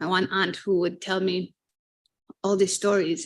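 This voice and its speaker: With a Fijian accent, a woman speaks at medium pitch and a moderate pace. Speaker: marine conservation professional. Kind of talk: panel discussion.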